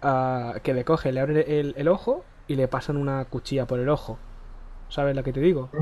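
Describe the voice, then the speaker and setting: At a moderate pace, a man speaks in a dark, mellow tone with a fairly high pitch and fairly even intonation. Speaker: gaming youtuber. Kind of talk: casual gameplay chat.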